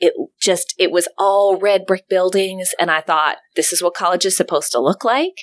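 A woman with an American accent at a medium pitch, an unremarkable speaking voice at a moderate pace, in a dry, close recording with no echo. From US South (Memphis, Tennessee). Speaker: professor. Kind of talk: interview.

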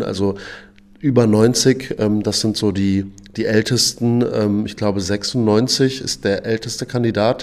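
Fairly even in intonation and medium in pitch, a man talks in an unremarkable speaking voice. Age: 30s. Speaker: boxing coach. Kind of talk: interview.

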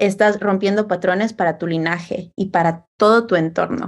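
A woman's animated, medium-pitched voice at a fairly slow pace. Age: 20s. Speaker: communication coach. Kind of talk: casual chat.

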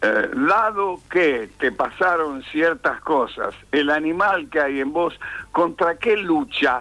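A man's high-pitched voice, very slow in pace, with lively intonation and very even loudness. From Argentina, Tucumán. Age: 80s+. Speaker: theatre teacher and director. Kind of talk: interview.

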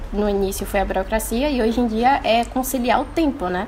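A woman's high-pitched voice with a dark, mellow tone, ordinary pitch variation and a moderate pace. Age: 20s. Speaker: entrepreneur and law student. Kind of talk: casual interview. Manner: casual, filler-heavy.

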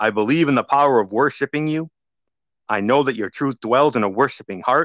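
In an ordinary speaking voice, a man talks at a fairly quick pace with a medium pitch and ordinary pitch variation, with a quiet background and a dry, close sound with no echo. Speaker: radio host and lay preacher. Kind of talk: fervent prayer, earnest and devout, spoken as worship. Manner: warm, pious, sincere.

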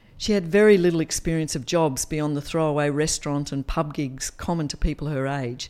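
A woman with an Australian accent, very deep and low in pitch, dark and mellow in tone, talking at a fairly quick pace with hardly any pauses on a very clean recording with a silent background. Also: ordinary pitch variation. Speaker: podcast storyteller. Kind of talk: dramatic third-person narration, reading a written memoir. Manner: expressive, storytelling cadence with wry humour.

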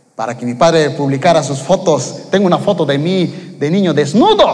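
Amid noticeable background noise and audible room echo, a man with a fairly high pitch speaks in an animated tone with ordinary pitch variation. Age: 30s. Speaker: preacher. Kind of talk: sermon.

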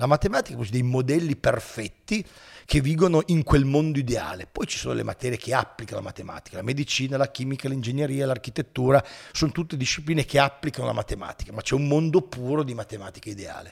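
Very fast, somewhat breathy speech from a man, fairly high in pitch with ordinary pitch variation. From Italy, Turin. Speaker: philosophy teacher and YouTuber. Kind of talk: casual interview.

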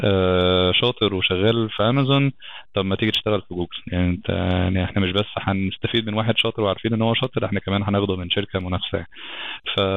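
Talking at a very fast pace, a man with an Egyptian accent keeps his intonation fairly even. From Egypt, Alexandria. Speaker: software engineering lead. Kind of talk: podcast interview.

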